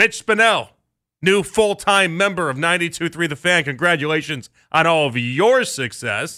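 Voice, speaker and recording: With an American accent, a man talks at a moderate pace in a high pitch with lively intonation and a bright, sharp tone. The recording is very clean, with a silent background. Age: 30s. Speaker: sports radio host. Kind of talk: live radio talk show. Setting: radio studio. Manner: animated, conversational.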